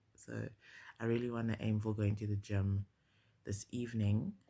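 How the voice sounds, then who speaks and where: A man with a fairly low pitch talks at a moderate pace in a monotone, flat delivery while music plays in the background. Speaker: beauty and lifestyle vlogger. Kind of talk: casual vlog chat. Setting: in her old bedroom at home. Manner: chatty, many fillers.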